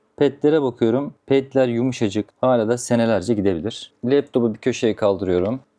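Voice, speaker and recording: A man's dark, mellow tone with ordinary pitch variation and hardly any pauses. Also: medium pitch for a man, moderate pace. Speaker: computer repair technician. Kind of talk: tutorial; casual rant.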